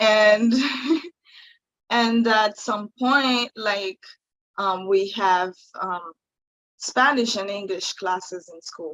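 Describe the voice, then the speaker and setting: Long, frequent pauses break up a woman's very slow speech, delivered in a Haitian accent at a medium pitch. Her loudness swings a lot, while her pitch varies in an ordinary way. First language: Haitian Creole. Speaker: singer-songwriter. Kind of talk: interview. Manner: halting, many fillers.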